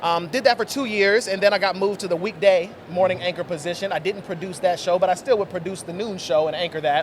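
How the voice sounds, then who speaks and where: A man with a high pitch talks very fast with hardly any pauses, over noticeable background noise. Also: ordinary pitch variation. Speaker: TV talk show host. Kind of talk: casual interview. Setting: convention floor.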